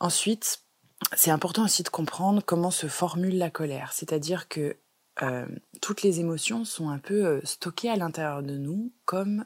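Her pitch fairly low and varying in an ordinary way, a woman delivers her words at a moderate speed. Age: 20s. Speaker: holistic wellness coach and podcast host. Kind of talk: solo podcast monologue.

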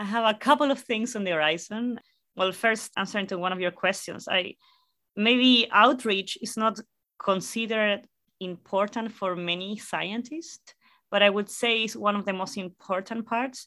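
A woman with a Spanish accent speaks at a moderate pace in a medium pitch, her bright, sharp tone carrying ordinary pitch variation over a very clean recording with a silent background. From Chile, La Serena. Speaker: astrophysicist. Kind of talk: interview.

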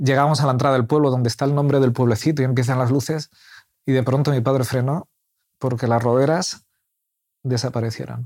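Fairly quick with long, frequent pauses, a man speaks at medium pitch with fairly even intonation. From Spain. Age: 40s. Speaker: church member. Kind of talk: interview conversation. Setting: at home.

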